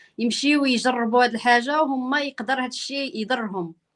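Her voice is high-pitched. The woman speaks over a quiet background. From Morocco. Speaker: journalist interviewer. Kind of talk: interview.

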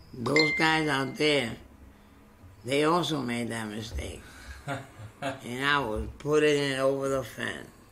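Speaking with a New York accent, a man with a fairly high pitch and ordinary pitch variation talks at a very slow pace with long, frequent pauses over light background noise. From South Bronx, New York. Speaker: retired social and mental healthcare worker; interviewee. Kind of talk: oral history interview answer. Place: office. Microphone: webcam.

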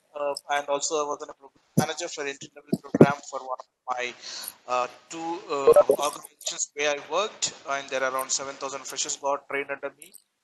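A man talks at a fairly quick pace in a fairly high, monotone, flat voice. Loud background noise runs underneath. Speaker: corporate trainer. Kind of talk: webinar lecture. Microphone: video call.

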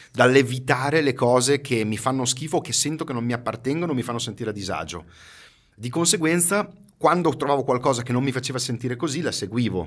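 Against a quiet background, a man speaks at a very fast pace. His pitch variation is ordinary. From Ferrara, Emilia-Romagna, northern Italy; Emilia-Romagna, Italy. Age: 50s. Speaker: marketing expert and trainer; podcast guest, marketing trainer. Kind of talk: casual interview chat. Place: studio. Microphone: studio mic.

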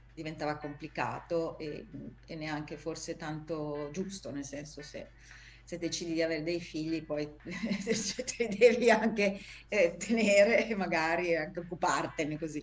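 A woman speaks with big jumps in loudness while music plays in the background. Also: fairly low pitch for a woman, ordinary pitch variation, fairly slow pace. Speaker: actress and voice actress. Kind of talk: interview answer. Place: home room. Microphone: video call.

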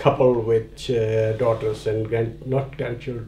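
A man talks at a moderate pace with a medium pitch. His voice is somewhat breathy, with a dark, mellow tone. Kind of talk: documentary interview answer.

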